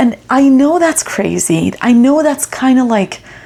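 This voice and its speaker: A woman at a moderate pace, her pitch swinging very widely, over noticeable background noise. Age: 30s. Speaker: vlogger, international student. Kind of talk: personal vlog monologue. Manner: emotional, reflective.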